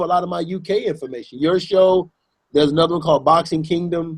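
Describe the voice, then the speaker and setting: With an American accent, a man talks at a very fast pace in a high pitch, his intonation fairly even. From United States. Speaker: boxing YouTube show host. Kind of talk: casual chat.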